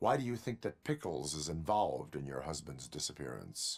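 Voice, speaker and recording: A man uses a put-on character voice with a very deep, low pitch at a moderate pace. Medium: video game. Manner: formal, deadpan, no contractions.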